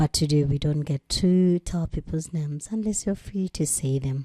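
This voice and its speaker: A woman's somewhat breathy voice sounds dark and mellow, pitched very deep and low, at a moderate pace. The sound is dry and close with no echo over a quiet background. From Uganda. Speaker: storytelling show host. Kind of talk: reading listener stories aloud with commentary.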